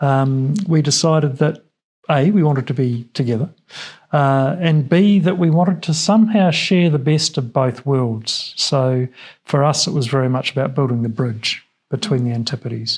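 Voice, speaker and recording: Speaking in a New Zealand accent, a man with a fairly high pitch talks at a moderate pace, somewhat breathy, with ordinary pitch variation and very even loudness. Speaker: business owner. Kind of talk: studio interview. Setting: TV studio.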